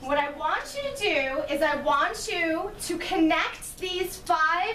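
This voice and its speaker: An extremely high-pitched woman at a very slow pace, with audible room echo. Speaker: chiropractor. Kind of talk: patient workshop talk. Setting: room with live audience of patients.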